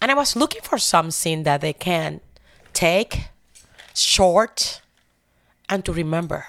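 A woman with a Spanish accent speaks at a fairly slow pace and a medium pitch. Her intonation is lively, and the recording is very clean with a silent background. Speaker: church prayer team member. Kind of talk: faith testimony interview. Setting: studio. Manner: emotional.

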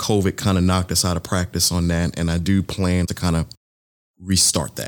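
This man speaks at a moderate pace in a very deep, low pitch, on a very clean recording with a silent background. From Thibodaux, Louisiana. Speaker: church elder and podcaster. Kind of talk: casual interview chat.

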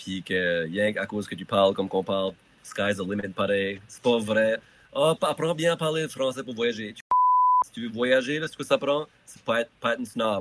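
Speaking in a New Brunswick Acadian accent, a man uses a medium-pitched voice at a moderate pace, with lively intonation and big swings in loudness. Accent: Acadian French, Chiac. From Acadia, southeast New Brunswick. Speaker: musician. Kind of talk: casual chat. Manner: halting, repeats words.

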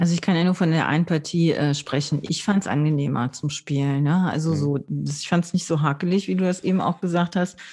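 A fairly low-pitched woman's voice with a dark, mellow tone, fairly even intonation, a fairly quick pace and hardly any pauses, on a very clean recording with a silent background. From northern Germany (Low German area). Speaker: board game podcast host. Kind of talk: casual chat. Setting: recording from home.

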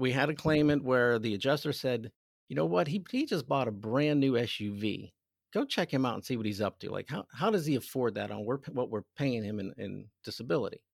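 A man with an American accent speaks at a fairly quick pace in an unremarkable speaking voice, his medium pitch carried by lively intonation, in a dry, close sound with no echo on a very clean recording with a silent background. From western Pennsylvania (Aliquippa, near Pittsburgh). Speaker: private investigator. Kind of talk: casual interview.

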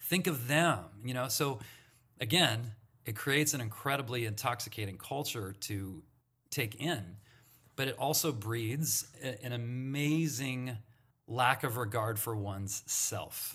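Speaking with an American accent, a man uses a bright, sharp tone at a fairly slow pace. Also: medium pitch for a man, ordinary pitch variation. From Santa Monica, California. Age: 50s. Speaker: former campus ministry leader. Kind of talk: casual interview.

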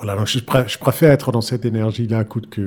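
The voice is somewhat breathy and moves at a fairly quick pace. The recording is very clean, with a silent background. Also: man. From Denmark, Aarhus. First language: Danish (speaking French). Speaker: pianist. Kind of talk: interview. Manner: halting, many repeated words.

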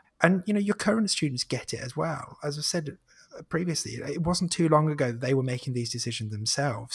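A man talks at a fairly quick pace with a fairly high pitch. His voice is somewhat breathy, with ordinary pitch variation. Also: very clean recording, silent background. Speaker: marketing and content head, podcaster. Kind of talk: casual interview.

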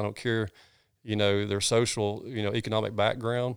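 A man's fairly low voice with a Southern US accent at a fairly quick pace, on a very clean recording with a silent background. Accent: Southern US (Georgia). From US South, North Georgia. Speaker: pastor. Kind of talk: casual interview conversation. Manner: animated.

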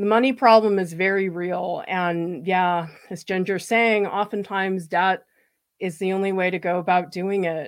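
On a very clean recording with a silent background, a woman with an ordinary speaking voice and medium pitch talks at a moderate pace with fairly even intonation. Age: 40s. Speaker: art educator and channel host. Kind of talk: live stream Q and A.

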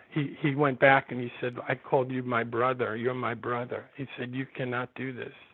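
His intonation is monotone and flat. The man speaks at a medium pitch in an American accent. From New York. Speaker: novelist and comics writer. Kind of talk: interview. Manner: halting.

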